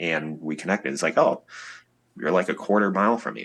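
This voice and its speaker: Over a quiet background, the speaker uses an Upper Midwest accent with ordinary pitch variation. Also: man. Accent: Upper Midwest American. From Wisconsin, USA. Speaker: musician, guitarist. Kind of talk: interview answer.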